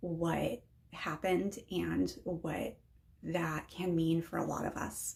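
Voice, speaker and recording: Very slow speech from a woman with an American accent. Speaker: mental health vlogger. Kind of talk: personal vlog talk. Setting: unheated back shed. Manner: hesitant, many ums.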